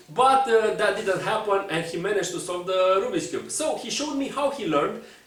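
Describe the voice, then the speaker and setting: With a Romanian accent and lively intonation, this speaker is heard with audible room echo and noticeable background noise. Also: man. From Romania, Bucharest. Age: 20s. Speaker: speedcuber and puzzle content creator. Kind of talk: personal storytelling to camera. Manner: halting, many fillers.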